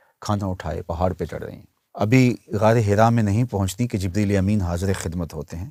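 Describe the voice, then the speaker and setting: Very deep and low, a man's voice carries a dark, mellow tone. The sound is dry and close with no echo, and the recording is very clean over a silent background. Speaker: Islamic preacher. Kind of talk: Islamic sermon (bayan).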